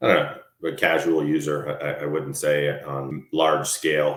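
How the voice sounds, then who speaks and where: In an American accent, a man speaks with a very deep, low pitch and monotone, flat intonation. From Colorado. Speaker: entrepreneur and engineer. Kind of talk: podcast interview. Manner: halting, many repeated words.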